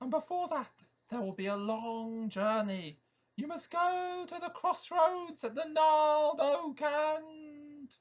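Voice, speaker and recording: Using a put-on character voice, a man speaks with an extremely high pitch. His pace is fairly slow. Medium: read story. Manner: hooting, long-winded, solemn.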